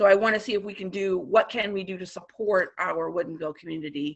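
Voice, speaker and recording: A woman with vocal fry talks at a moderate pace in a medium pitch. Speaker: public commenter at city council meeting. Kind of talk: public comment.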